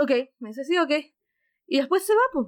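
With a Chilean accent, a woman talks at a very fast pace with ordinary pitch variation, on a very clean recording with a silent background. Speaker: podcast host telling her story. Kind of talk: personal storytelling.

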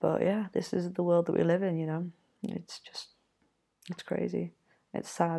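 A woman's fairly low, dark, mellow voice with an English accent, monotone, flat intonation, and a moderate pace broken by long, frequent pauses. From Yorkshire, England. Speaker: podcast host. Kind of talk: solo casual monologue. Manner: hesitant, many ums and fillers.

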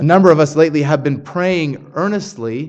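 A man talks in a fairly high pitch with ordinary pitch variation. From Canada. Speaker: pastor. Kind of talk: sermon. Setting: church.

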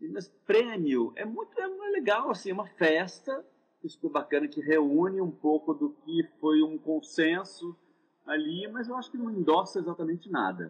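Moderately paced, a man talks at a high pitch with lively intonation. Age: 50s. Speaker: actor and theatre director. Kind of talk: casual interview chat. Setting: Instagram live video call.

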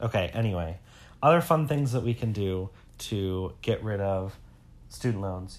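Moderately paced delivery in an ordinary speaking voice, lively in intonation, on a very clean recording against a silent background. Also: man. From Metro Detroit, Michigan. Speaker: podcast co-host, teacher. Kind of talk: casual chat.

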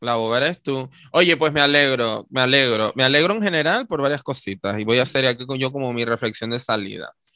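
Speaking fairly quickly, a man has a medium pitch and ordinary pitch variation. His tone is animated. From Tenerife, Canary Islands. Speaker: podcast co-host. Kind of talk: casual chat.

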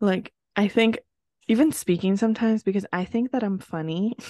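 Dry and close with no echo, an animated voice moves at a moderate pace with ordinary pitch variation over a quiet background. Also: woman. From US Northeast (New Jersey). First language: Spanish. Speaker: podcast co-host. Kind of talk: casual chat. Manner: animated, laughs often.

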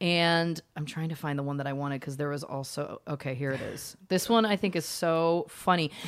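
Animated, enthusiastic delivery at a moderate pace with hardly any pauses and ordinary pitch variation, on a very clean recording with a silent background. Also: woman, very deep, low pitch for a woman. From Canada. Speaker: podcast host. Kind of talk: casual interview chat.

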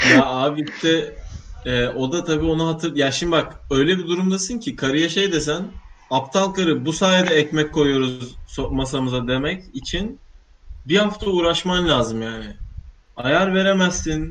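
A man with a fairly high pitch, ordinary pitch variation and a fairly slow pace. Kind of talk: casual chat. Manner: animated.

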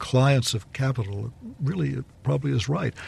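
A somewhat breathy man with an American accent and medium pitch, against a quiet background. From Texas. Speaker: law professor. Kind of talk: panel discussion. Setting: studio.

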